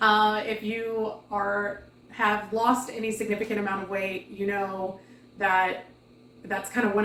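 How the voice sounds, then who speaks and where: Amid noticeable background noise and audible room echo, a woman speaks at a medium pitch with monotone, flat intonation. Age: 40s. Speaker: weight loss vlogger. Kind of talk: casual vlog update. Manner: casual with many fillers.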